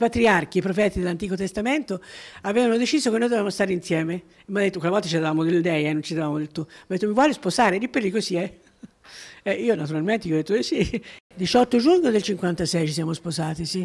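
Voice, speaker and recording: Here a woman at medium pitch speaks at a very fast pace. Her intonation is lively. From Jesi, Marche, central Italy. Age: 80s+. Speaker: retired parish volunteer recalling her life. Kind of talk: life-story interview. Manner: halting, with many repetitions.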